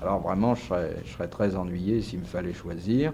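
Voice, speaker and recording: A man's very deep, low pitch with vocal fry, a dark, mellow tone, and ordinary pitch variation. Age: 40s. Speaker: journalist and radio host. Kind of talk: interview answer.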